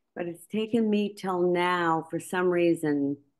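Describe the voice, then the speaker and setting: A woman's fairly low voice with an American accent, very slow pace and fairly even intonation, over a quiet background. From US West, Los Angeles. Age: 60s. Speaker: coaching client. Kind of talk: testimonial. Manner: halting.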